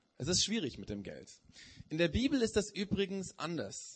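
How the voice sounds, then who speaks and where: Pitch swings very widely as the words come at a moderate pace. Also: man. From Germany. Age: 40s. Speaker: preacher. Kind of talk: sermon. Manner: hesitant, many filler sounds.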